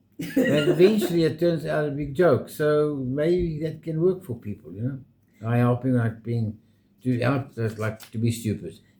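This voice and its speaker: A man with a fairly high pitch speaks at a moderate pace with lively intonation. His tone is dark and mellow, somewhat breathy. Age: 70s. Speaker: retired vlogger. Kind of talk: casual chat.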